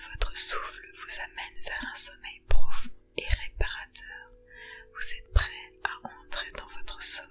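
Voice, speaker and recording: The voice is a whisper, delivered very slowly. Background noise is noticeable throughout. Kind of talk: guided sleep meditation. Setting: ASMR relaxation recording. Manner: whispered, soft, slow.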